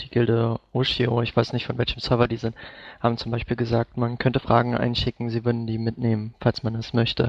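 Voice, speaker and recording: Monotone, flat intonation at a fairly quick pace. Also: man. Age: 20s. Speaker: gaming site intern. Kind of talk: casual chat.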